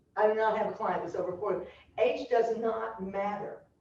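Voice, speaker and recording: Audible room echo surrounds a woman of medium pitch talking at a moderate pace. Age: 70s. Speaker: culture strategist and consultant, former high school teacher. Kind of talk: speech at business meeting. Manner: animated.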